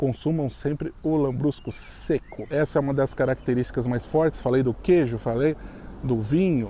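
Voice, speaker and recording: A normal speaking voice from a man at medium pitch, with ordinary pitch variation, a moderate pace, and very even loudness. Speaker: YouTuber, expat video host. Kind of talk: casual vlog commentary.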